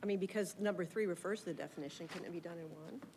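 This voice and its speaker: A woman speaks at a very fast pace and a medium pitch. Background noise is noticeable. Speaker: city board member. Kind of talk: public board meeting discussion.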